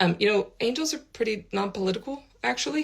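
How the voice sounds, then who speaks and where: Vocal fry runs through this woman's speech. She talks with an American accent. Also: very clean recording, silent background. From United States. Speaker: spiritual teacher. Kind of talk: vlog. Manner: casual, with frequent fillers.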